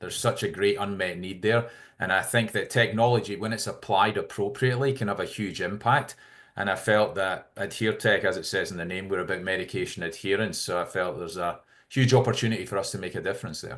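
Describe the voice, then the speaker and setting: Against a quiet background, a man talks at a very fast pace. He has a Scottish accent and ordinary pitch variation. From Scotland. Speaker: healthcare tech CEO. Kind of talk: interview.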